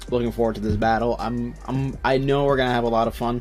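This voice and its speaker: The man's intonation stays fairly even. Background noise is noticeable. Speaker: competitive gaming YouTuber. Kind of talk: gameplay commentary. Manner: hesitant, many fillers; shaky voice.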